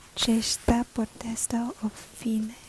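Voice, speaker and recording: The speaker is soft-spoken and talks at a very slow pace against noticeable background noise. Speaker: ASMR travel agent roleplay host. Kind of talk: reading Italian text aloud. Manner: soft-spoken, relaxing.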